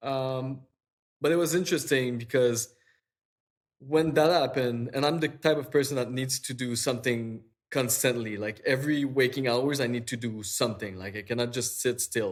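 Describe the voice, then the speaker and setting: A man speaks at a medium pitch. His pitch varies in an ordinary way, at a moderate pace. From Quebec, Eastern Townships. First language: French. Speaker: digital artist. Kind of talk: interview conversation. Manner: halting, many fillers and repeats.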